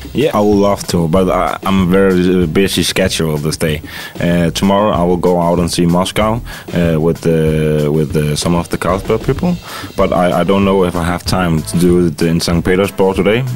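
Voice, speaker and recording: Against noticeable background noise, a man speaks at a very deep, low pitch and a moderate pace, with fairly even intonation and very even loudness. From Denmark. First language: Danish (speaking Russian). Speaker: chef. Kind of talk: interview through interpreter. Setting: studio. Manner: halting.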